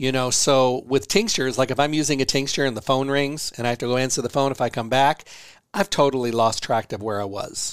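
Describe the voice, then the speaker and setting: Using a normal speaking voice, a man of medium pitch talks at a fairly quick pace with ordinary pitch variation. The recording is very clean, with a silent background. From US Midwest. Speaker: radio host and herbalist. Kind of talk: health radio Q&A monologue.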